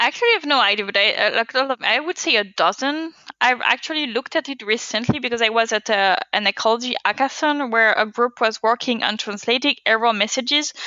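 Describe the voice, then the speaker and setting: A woman with a non-native accent at a fairly high pitch, ordinary pitch variation, a fairly quick pace and hardly any pauses. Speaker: data scientist. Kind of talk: podcast interview.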